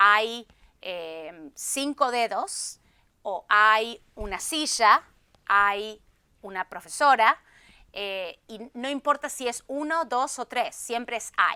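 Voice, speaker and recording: In a very clean recording with a silent background, a woman speaks at a very slow pace with a fairly high pitch and a bright, sharp tone. Her intonation is lively, and her loudness swings a lot. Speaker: Spanish teacher. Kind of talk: interview answer.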